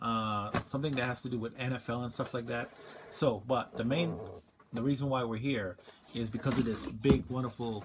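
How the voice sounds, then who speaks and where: A man at a moderate pace with ordinary pitch variation, over noticeable background noise. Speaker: food reviewer. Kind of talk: casual vlog chat. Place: home room. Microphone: phone near.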